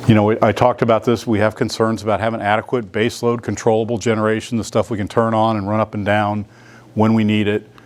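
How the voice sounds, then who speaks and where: Over noticeable background noise, a man talks at a very fast pace in a monotone, flat delivery. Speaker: utility executive. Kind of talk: business presentation.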